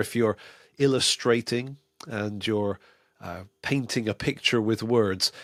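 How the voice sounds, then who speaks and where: In a very clean recording with a silent background and a dry, close sound with no echo, a man with medium pitch and a plain, everyday voice speaks at a moderate pace with fairly even intonation. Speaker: preaching teacher, podcast host. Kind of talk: podcast talk on preaching delivery. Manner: conversational, natural.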